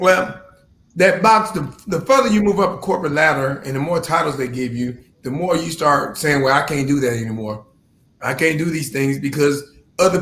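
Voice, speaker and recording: A man speaks loudly at a fairly quick pace in a bright, sharp tone, with audible room echo. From Louisiana. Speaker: business owner and military veteran. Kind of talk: casual interview.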